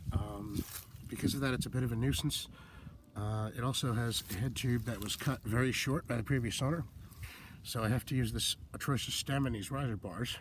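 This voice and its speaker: Here a man speaks at a medium pitch in a somewhat breathy voice. He moves at a fairly quick pace with fairly even intonation. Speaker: vintage bike enthusiast. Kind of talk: casual talk to camera.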